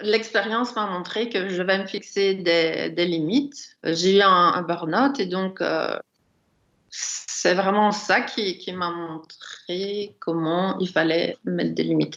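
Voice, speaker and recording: Very slowly, a woman talks at a medium pitch. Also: ordinary pitch variation. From Brussels, Belgium. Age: 60s. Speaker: writer. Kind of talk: casual chat.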